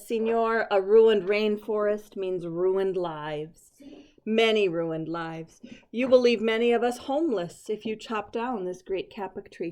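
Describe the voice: A squeaky put-on character voice from a woman, medium in pitch at a moderate pace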